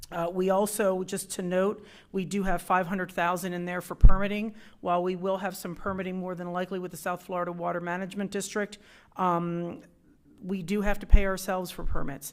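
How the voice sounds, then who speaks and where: Fairly quick, monotone delivery with flat intonation and big swings in loudness, on a very clean recording with a silent background. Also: woman, medium pitch for a woman. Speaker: city government staff member presenting budget. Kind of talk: council meeting presentation. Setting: city council meeting. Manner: fast.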